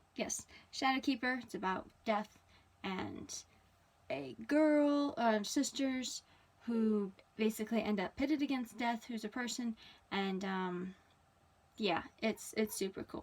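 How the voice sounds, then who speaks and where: A woman with a fairly high pitch speaks at a fairly slow pace, somewhat breathy. Her pitch varies in an ordinary way, and she leaves long, frequent pauses. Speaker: author and podcast host. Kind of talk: casual vlog monologue. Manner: animated.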